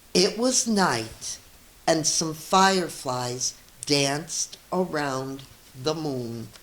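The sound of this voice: A woman speaks very slowly at a low pitch, with lively intonation. The room echo is audible.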